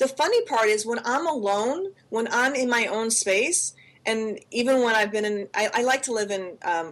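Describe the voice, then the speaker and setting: With lively intonation and a fairly high pitch, a woman talks at a moderate pace. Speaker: podcast co-host. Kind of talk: casual chat. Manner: animated.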